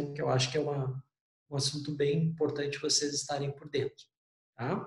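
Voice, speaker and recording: At a moderate pace, a man talks in a fairly high pitch with a somewhat breathy voice. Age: 40s. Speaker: university lecturer. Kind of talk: online lecture. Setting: remote class.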